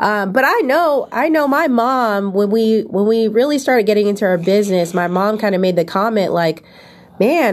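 A woman speaks in a fairly high voice. Her pitch swings very widely. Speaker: podcast host and entrepreneur. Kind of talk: casual chat.

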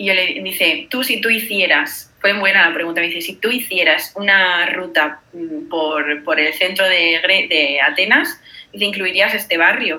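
A woman of medium pitch talks at a fairly slow pace with ordinary pitch variation, and noticeable background noise can be heard. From Spain, Granada. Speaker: traveler. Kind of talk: casual chat. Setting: video call.

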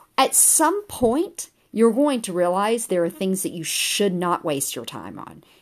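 On a very clean recording with a silent background, a woman at medium pitch talks at a fairly slow pace with hardly any pauses. Her pitch swings very widely and her loudness rises and falls a great deal. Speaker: podcast host. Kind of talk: solo podcast monologue. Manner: pitch goes up and down; frequent fillers, um and uh.

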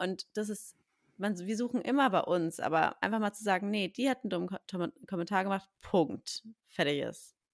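An unremarkable speaking voice moves at a moderate pace with ordinary pitch variation, its sound dry and close with no echo on a very clean recording with a silent background. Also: woman, medium pitch for a woman. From Berlin. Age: 20s. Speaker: podcast host, café owner, mother. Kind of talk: casual chat.

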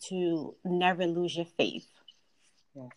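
A woman speaks with a Philadelphia accent. Her pitch is medium. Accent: Philadelphia American English. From US, Philadelphia (South Philly). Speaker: financial advisor. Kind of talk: casual interview.

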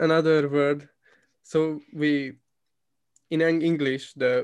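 A man with a Hungarian accent and a fairly high pitch speaks in a flat monotone. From Hungary. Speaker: podcast host. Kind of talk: casual chat. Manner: relaxed, fluent, laughs often.

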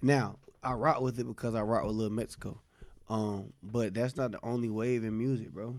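A man with an American accent and a normal speaking voice talks at a fairly quick pace, medium in pitch, with fairly even intonation. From US South, South Carolina (Nickeltown area). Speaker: podcast co-host, music reviewer. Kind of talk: casual chat.

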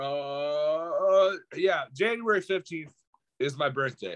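An animated man speaks at a high pitch with lively intonation. His tone is bright and sharp. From Portugal, raised in Canada. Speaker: podcast host and battle rapper. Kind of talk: casual chat.

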